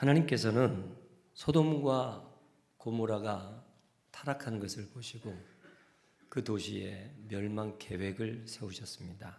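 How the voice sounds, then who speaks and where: A somewhat breathy man with medium pitch and ordinary pitch variation speaks at a very slow pace, with long, frequent pauses and audible room echo. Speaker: senior pastor. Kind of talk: sermon. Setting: church.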